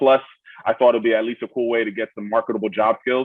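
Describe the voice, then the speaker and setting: A man's medium-pitched voice in a flat monotone. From Miami, Florida (born in Brooklyn). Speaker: student veteran. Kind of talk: panel Q&A introduction. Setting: video call.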